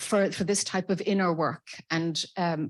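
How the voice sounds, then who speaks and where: Someone with an Irish accent speaks at a fairly slow pace with fairly even intonation on a very clean recording with a silent background. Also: woman. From Ireland. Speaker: audience member, spiritual association organizer. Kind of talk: audience comment at conference. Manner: halting.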